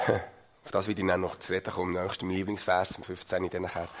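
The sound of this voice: A man speaks at a fairly quick pace. His pitch is low.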